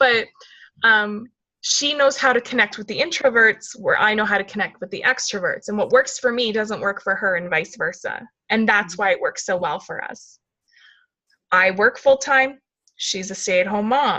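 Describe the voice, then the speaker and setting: A woman's loud, fairly high voice with a bright, sharp tone, ordinary pitch variation and a moderate pace. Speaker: fitness coach leading a team call. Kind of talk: team call, casual coaching talk.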